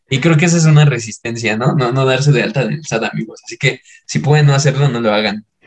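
A man with a medium-pitched, somewhat breathy voice talks at a very fast pace, his pitch varying in an ordinary way. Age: 20s. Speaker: podcast co-host. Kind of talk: casual chat.

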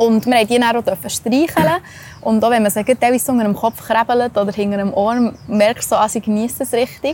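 A woman's fairly high voice in a Swiss accent, fairly quick, with ordinary pitch variation and noticeable background noise. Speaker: travel podcast host. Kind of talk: casual chat.

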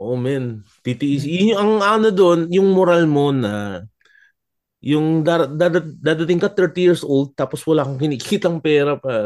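A man talks in a plain, everyday voice at a fairly slow pace. His fairly high pitch moves with lively intonation. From Germany. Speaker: comedian. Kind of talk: casual chat. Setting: video call.

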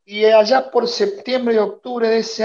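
Fairly slow and high-pitched, a man speaks with an Argentine accent. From Argentina. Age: 50s. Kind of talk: casual interview.

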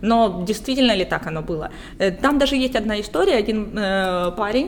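This woman has a plain, everyday voice, pitched fairly high. She talks at a moderate pace with ordinary pitch variation. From Luhansk, Ukraine. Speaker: writer. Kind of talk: casual chat. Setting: coffee shop.

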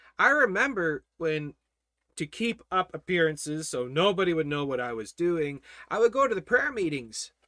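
A man speaks at a moderate pace in a bright, sharp tone with high pitch and very wide pitch swings. The sound is dry and close with no echo, on a very clean recording with a silent background. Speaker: Bible study teacher. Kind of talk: reading viewer comments; Bible study lecture. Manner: animated.

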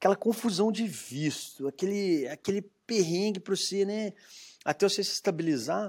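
On a very clean recording with a silent background, a man speaks at a moderate pace, high in pitch with ordinary variation. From Minas Gerais, Brazil (Belo Horizonte). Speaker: entrepreneur, brewery founder. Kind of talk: interview.

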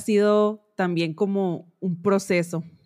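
The recording is very clean, with a silent background. A woman at medium pitch speaks at a very slow pace with fairly even intonation. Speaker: fashion designer. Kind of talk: casual chat.

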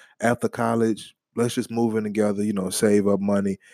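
Dry and close with no echo, a man's fairly low voice has a dark, mellow tone, monotone, flat intonation and an American accent. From New Orleans, Louisiana. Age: 20s. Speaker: podcast co-host.

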